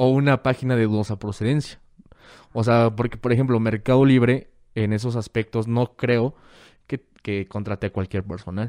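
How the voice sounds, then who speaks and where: A man's medium-pitched voice, dark and mellow in tone, comes with fairly even intonation and a dry, close sound with no echo. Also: very clean recording, silent background. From Mexico, Guadalajara. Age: 20s. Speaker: hacker and security course instructor. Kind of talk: casual interview chat.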